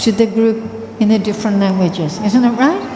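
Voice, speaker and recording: Someone with an Australian accent speaks with fairly even intonation. Room echo is audible over noticeable background noise. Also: woman. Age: 70s. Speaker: spiritual teacher. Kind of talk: talk to an audience.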